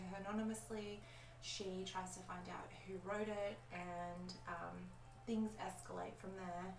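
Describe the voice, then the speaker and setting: A soft-spoken woman at medium pitch uses lively intonation, with noticeable background noise and audible room echo. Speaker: film and book vlogger. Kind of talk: casual monthly wrap-up vlog. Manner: soft-spoken, talking quietly.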